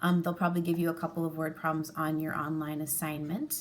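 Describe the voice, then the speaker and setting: A woman talks at a moderate pace. Hers is an ordinary speaking voice. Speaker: elementary school teacher. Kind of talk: tutorial.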